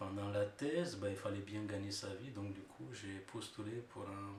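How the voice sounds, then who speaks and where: A man with a Romanian accent, fairly low pitch and very slow pace, amid audible room echo and noticeable background noise. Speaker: engineer and researcher, immigrant. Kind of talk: interview testimony. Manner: hesitant, many fillers.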